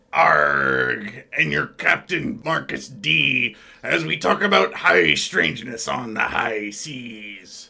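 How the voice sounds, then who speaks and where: Putting on a character voice, a man at medium pitch goes at a very slow pace with hardly any pauses. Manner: playful, swaggering.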